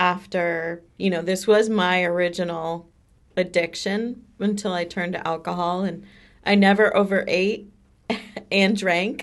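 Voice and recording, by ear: A woman speaks at a fairly slow pace with fairly even intonation. Her pitch sits fairly low.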